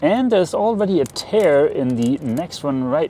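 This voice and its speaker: Light background noise sits behind a man whose pitch swings very widely, recorded with a dry sound and no echo. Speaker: sailing vlogger. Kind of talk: casual vlog chat. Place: boat. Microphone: lapel.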